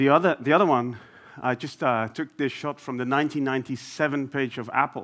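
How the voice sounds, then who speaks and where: A man speaks with a Dutch accent at medium pitch and fairly even intonation. The recording is very clean, with a silent background. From Netherlands, Amsterdam. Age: 40s. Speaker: business executive. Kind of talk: conference talk. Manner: hesitant, many fillers.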